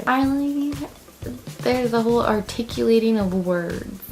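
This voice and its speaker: With music in the background, a woman speaks at a moderate pace with lively intonation. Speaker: vlogger. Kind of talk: casual vlog rant. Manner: loud; sometimes mumbling, slurred.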